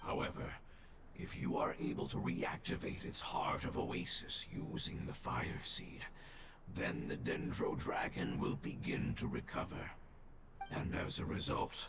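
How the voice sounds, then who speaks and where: A put-on character voice speaks at a moderate pace, with a clear echo and loud background noise. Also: man. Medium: video game. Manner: earnest, solemn.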